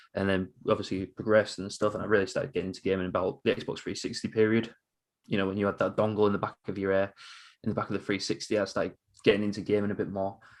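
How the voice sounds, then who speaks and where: Talking at a very fast pace, a man uses a fairly low pitch and a monotone, flat intonation. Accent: English. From northern England, Hull, East Yorkshire. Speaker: quiz streamer. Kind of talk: casual chat.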